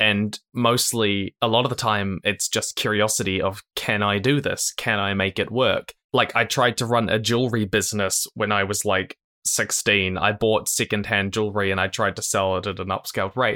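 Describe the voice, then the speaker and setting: Bright and sharp in tone, a speaker with a New Zealand accent talks at a moderate pace with hardly any pauses and monotone, flat intonation, in a very clean, dry, close recording with a silent background and no echo. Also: man, fairly low pitch for a man. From New Zealand, Christchurch. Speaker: YouTuber, educational content creator. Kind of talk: interview.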